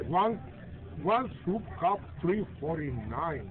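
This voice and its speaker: Noticeable background noise sits behind a man. His intonation is lively. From Mexico. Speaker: grandfather treating family to dinner. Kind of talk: reading a receipt aloud. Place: cafe.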